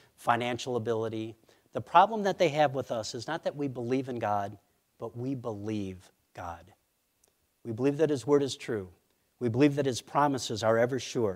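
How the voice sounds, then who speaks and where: A man speaks in a plain, everyday voice with an American accent, his pitch medium and his intonation ordinary. He keeps a moderate pace, and the recording is very clean with a silent background. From Minnesota, US Midwest. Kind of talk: sermon.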